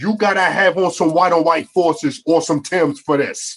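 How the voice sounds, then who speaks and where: A man with a Baltimore accent speaks at a high pitch with ordinary pitch variation. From Baltimore, Maryland (Northeast Baltimore). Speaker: podcast co-host. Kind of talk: casual chat. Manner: animated.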